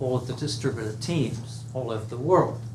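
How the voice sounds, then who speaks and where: Medium-pitched male speech carrying audible echo from the room. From England. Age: 70s. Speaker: speaking coach. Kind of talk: speech to audience. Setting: room with live audience.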